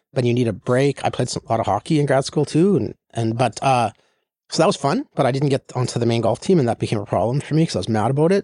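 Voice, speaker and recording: A man with a Canadian Prairies accent talks at a very fast pace and a medium pitch, with lively intonation. The background is quiet, and the sound is dry and close with no echo. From northern Saskatchewan, Canada. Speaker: tech investor and executive. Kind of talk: interview. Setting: studio. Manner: halting, repeats words.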